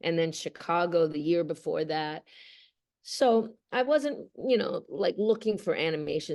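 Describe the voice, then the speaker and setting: Lively intonation marks a woman's plain, everyday voice. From Australia, moved to Canada at eight. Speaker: voice actress. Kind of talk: interview.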